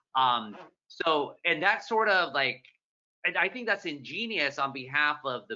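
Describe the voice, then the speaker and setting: A man with an American accent, fairly high-pitched and animated in tone, with very wide pitch swings. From Southern California, Orange County. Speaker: newspaper columnist and moderator. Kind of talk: moderated author conversation. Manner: fast.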